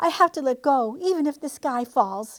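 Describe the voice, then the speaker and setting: In a put-on character voice, a woman growls at a high pitch and a moderate pace on a very clean recording with a silent background. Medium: read story. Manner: growling, snarling.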